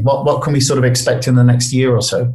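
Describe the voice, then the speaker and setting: Speaking with a British accent, a man uses a medium-pitched voice. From UK. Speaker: podcast host, writer and analyst. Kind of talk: interview.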